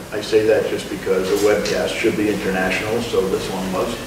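Over noticeable background noise and audible room echo, a man speaks at a moderate pace. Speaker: presenter. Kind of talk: meeting presentation. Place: meeting room. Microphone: webcam.

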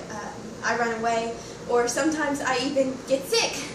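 A woman speaks at a high pitch and a moderate pace with fairly even intonation. Noticeable background noise and audible room echo fill the recording. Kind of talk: acted monologue. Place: home room. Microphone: camera far.

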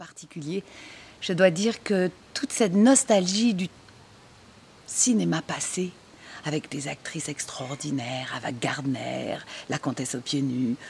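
A woman's very deep, low voice with very wide pitch swings, fairly slow pace and long, frequent pauses over light background noise. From Marseille. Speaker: actress. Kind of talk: interview answer. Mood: nostalgic, enthusiastic. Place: garden.

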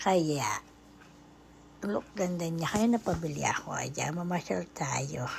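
Delivery is very slow. Intonation rises and falls in a lively way. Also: woman, fairly low pitch for a woman. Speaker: vlogger. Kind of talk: shopping vlog voice-over. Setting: department store. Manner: casual, filler-heavy.

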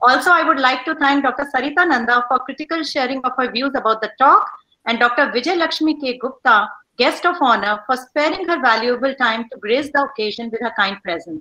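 A raised, projected voice with a bright, sharp tone moves at a fairly quick pace with ordinary pitch variation over a quiet background. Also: woman, high pitch for a woman. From India. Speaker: college faculty member; webinar host. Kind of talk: casual chat. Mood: warm, cheerful. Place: home room. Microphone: video call.

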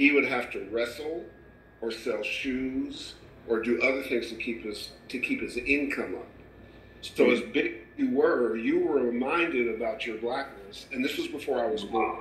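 A man keeps a moderate pace while noticeable background noise and audible room echo fill the space. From Canada and Kentucky. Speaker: music industry executive and talk show co-host. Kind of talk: interview.

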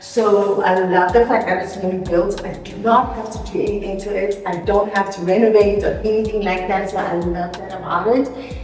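Over light background noise and audible room echo, a woman speaks with fairly even intonation. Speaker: vlogger. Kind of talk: casual vlog chat, house tour. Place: empty room. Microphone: camera far.

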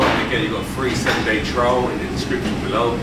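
Loud background noise runs under this man's speech. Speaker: fitness trainer. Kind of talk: casual vlog chat. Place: gym.

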